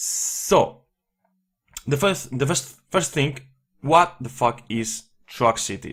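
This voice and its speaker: A man with a non-native accent and lively intonation, at a very slow pace. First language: not English. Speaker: indie game developer. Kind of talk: gameplay tutorial. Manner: hesitant, many fillers.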